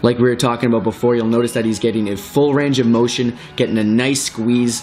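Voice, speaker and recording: Male speech at medium pitch, with noticeable noise behind it. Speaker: fitness trainer. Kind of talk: tutorial. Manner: fast; animated.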